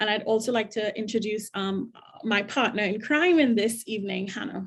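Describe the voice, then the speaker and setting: A woman's somewhat breathy voice, fairly high in pitch, at a moderate pace with ordinary pitch variation. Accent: Trinidadian. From Trinidad and Tobago. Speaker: diversity director at a college. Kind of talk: panel discussion. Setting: video call.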